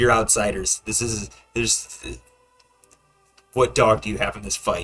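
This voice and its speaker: Over faint music in the background, a man speaks in a raspy, put-on character voice. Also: moderate pace. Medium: actual play.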